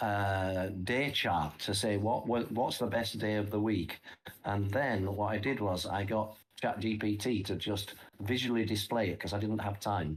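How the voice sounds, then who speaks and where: A man with fairly low pitch keeps his loudness very even and his intonation fairly even as he speaks at a fairly slow pace. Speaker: crypto trading app co-founder presenting market analysis. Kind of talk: live stream market analysis. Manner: halting, repeats words.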